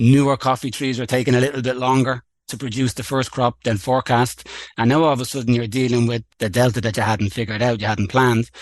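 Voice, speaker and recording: Against a quiet background, the speaker talks very fast with fairly even intonation. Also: man, medium pitch for a man. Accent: Irish. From Ireland, Dublin. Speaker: coffee farm company co-founder. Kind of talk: podcast interview.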